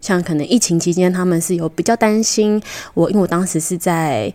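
A woman with a Taiwanese accent talks at a moderate pace with ordinary pitch variation. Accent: Taiwanese Mandarin. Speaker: podcast co-host, traveler. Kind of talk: casual interview. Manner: hesitant, many fillers.

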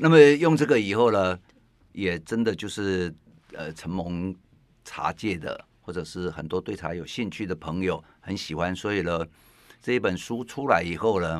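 This man has a very deep, low pitch and lively intonation. He talks at a fairly slow pace, with big swings in loudness. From Taiwan. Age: 60s. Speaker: tea teacher and author. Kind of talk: casual interview.

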